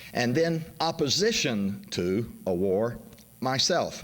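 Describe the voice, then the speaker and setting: A man with an American accent speaks at a very slow pace with very wide pitch swings, and audible room echo surrounds his voice. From US South, western Arkansas / Oklahoma. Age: 60s. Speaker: history professor. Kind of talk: conference introduction speech.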